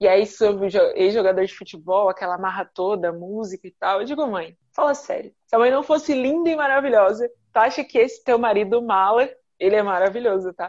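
A woman's ordinary speaking voice, fairly high in pitch, at a fairly quick pace with lively intonation against a quiet background. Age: 30s. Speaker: podcast host, fashion entrepreneur. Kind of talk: casual group conversation.

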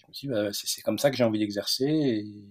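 This man's voice sits fairly low. His intonation stays fairly even. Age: 40s. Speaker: veterinarian and entrepreneur. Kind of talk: interview. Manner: hesitant, many fillers and repetitions.

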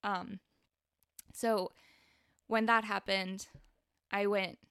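In a very clean recording with a silent background, a woman speaks at a medium pitch, the sound dry and close with no echo. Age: 20s. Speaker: podcast host. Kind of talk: personal monologue. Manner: casual, filler-heavy.

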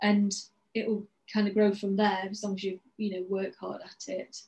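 A woman speaks in a medium pitch at a fairly quick pace. Her voice is somewhat breathy. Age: 40s. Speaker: dancer and business coach. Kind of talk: interview.

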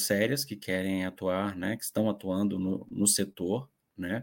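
Very slow speech, on a very clean recording with a silent background. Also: man. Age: 40s. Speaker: journalist. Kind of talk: panel discussion. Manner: halting.

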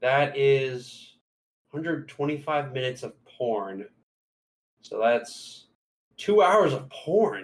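Somewhat breathy and very slow, the speech has lively intonation and long, frequent pauses. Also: man, fairly high pitch for a man. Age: 20s. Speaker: podcast co-host. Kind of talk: casual chat.

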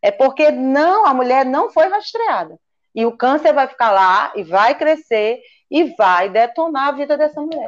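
A woman's high voice swings very widely in pitch as she talks fairly slowly. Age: 50s. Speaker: physician. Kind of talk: interview.

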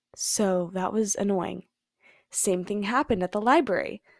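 A woman with an American accent talks at a moderate pace and a medium pitch. The sound is dry and close with no echo, on a very clean recording with a silent background. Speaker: podcaster, college student. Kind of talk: casual solo chat. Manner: casual, frequent 'like'.

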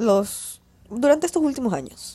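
The voice has a dark, mellow tone and moves at a slow pace with ordinary pitch variation. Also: woman.

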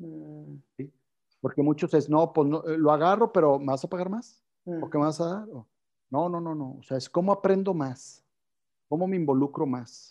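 An unremarkable speaking voice from a man, fairly high in pitch with ordinary pitch variation, fairly slow, with big swings in loudness against a quiet background. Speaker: company CEO. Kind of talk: interview. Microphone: connection cutting out.

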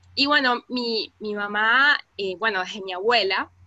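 In a Caracas accent, a woman speaks with a fairly high pitch. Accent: Venezuelan Spanish (Caracas). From Venezuela, Caracas. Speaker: migrant activist. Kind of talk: interview.

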